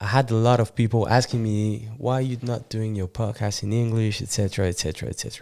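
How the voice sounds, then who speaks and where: Very clean recording with a silent background, a man at medium pitch with a French accent and a dark, mellow tone. He speaks at a very fast pace with hardly any pauses and fairly even intonation. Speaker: podcast host. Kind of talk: interview. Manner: halting.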